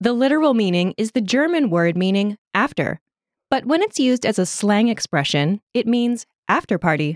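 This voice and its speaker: A woman speaks at a moderate pace and fairly high pitch, with very wide pitch swings and very even loudness. The recording is very clean, with a silent background and a dry, close sound with no echo. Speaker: language lesson host. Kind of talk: language lesson. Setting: studio. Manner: clear instructional delivery.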